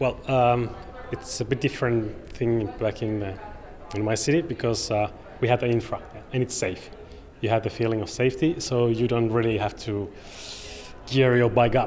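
Over noticeable background noise, a man talks and leaves long, frequent pauses. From Finland, Oulu. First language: Finnish. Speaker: cycling advocate. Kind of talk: interview. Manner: halting.

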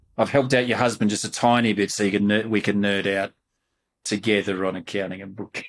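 A man with an Australian accent talks at a very fast pace in a fairly low pitch, his intonation monotone and flat. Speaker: podcast host and company CEO. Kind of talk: casual interview.

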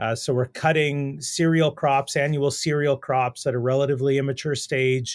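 A man at medium pitch with a Canadian Prairie accent, moderate pace, dry, close sound with no echo, very clean recording and silent background. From Saskatchewan, Canada. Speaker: animal nutrition professor. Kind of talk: interview on research.

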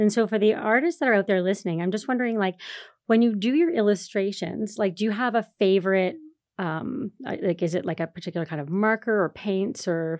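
Against a quiet background, a plain, everyday voice moves at a fairly quick pace with ordinary pitch variation. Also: woman. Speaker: podcast co-host. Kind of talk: interview. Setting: studio.

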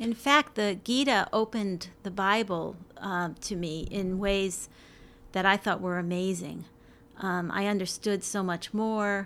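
On a very clean recording with a silent background, a woman with an American accent speaks in a normal speaking voice at a medium pitch, with ordinary pitch variation and a fairly slow pace. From New York. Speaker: university librarian. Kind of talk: casual interview.

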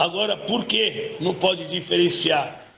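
A man delivers his words at a fairly slow pace. Behind him, noticeable background noise can be heard. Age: 50s. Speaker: football supporters' group president. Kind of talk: podcast interview.

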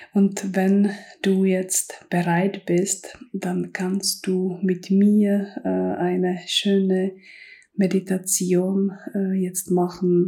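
Speaking at a very slow pace, a woman uses a dark, mellow, soothing, calm tone that is somewhat breathy, with monotone, flat intonation. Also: medium pitch for a woman. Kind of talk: guided meditation. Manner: slow, soft and soothing, calm; gentle second-person address, with pauses.

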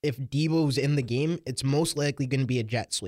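With a medium pitch and ordinary pitch variation, a man talks at moderate speed. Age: young. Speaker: football fan guest. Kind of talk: casual interview. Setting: studio. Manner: animated.

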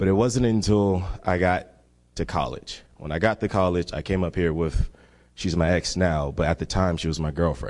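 A man with a very deep, low pitch and an American accent at a moderate pace, with ordinary pitch variation and a quiet background. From Miami, Florida. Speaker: congregation member giving testimony. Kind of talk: testimony. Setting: church.

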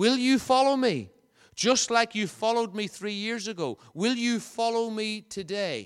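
A man with a Northern Irish accent speaks at a high pitch. His pace is fairly slow. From Northern Ireland, County Fermanagh. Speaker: visiting preacher. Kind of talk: sermon. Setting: church.

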